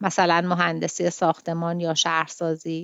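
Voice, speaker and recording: A woman in a normal speaking voice, fairly low in pitch, at a moderate pace, in dry, close sound with no echo. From Iran, Tehran. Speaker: podcast host and literary translator. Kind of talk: literary commentary; reading aloud of a translated short story.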